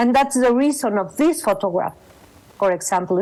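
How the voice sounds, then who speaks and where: A woman talks with a Mexican accent at a fairly high pitch. Noticeable background noise runs behind her. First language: Spanish. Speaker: photographer and exhibition co-curator. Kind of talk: panel talk. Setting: video call. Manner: halting.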